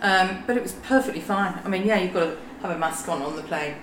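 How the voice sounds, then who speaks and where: Noticeable background noise surrounds the recording. A woman at medium pitch talks at a very fast pace. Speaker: property owner guest. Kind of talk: casual interview chat.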